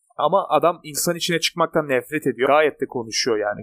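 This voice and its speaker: A man speaks in a normal speaking voice, fairly high in pitch, at a moderate pace with ordinary pitch variation. The sound is dry and close with no echo. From Turkey. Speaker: podcast co-host. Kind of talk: casual chat.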